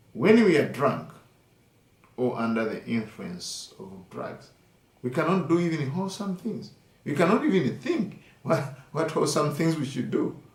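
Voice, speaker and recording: Against noticeable background noise, a man with a fairly high pitch talks at a moderate pace, his voice making very wide pitch swings. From Uganda. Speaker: Buddhist monk and meditation teacher. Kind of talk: dharma talk.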